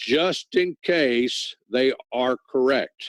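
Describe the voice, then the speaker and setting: This man has a normal speaking voice, pitched fairly high. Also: dry, close sound with no echo. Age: 60s. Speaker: network marketing presenter. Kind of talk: sales pitch. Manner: casual.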